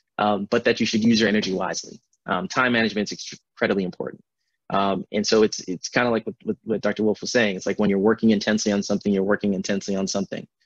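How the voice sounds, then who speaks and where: A man's fairly low, monotone voice with an American accent at a very fast pace, dry with no echo, over a quiet background. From Milwaukee, Wisconsin and Accra, Ghana. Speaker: neurosurgeon; speaker. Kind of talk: lecture. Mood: warm, reflective. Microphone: video call.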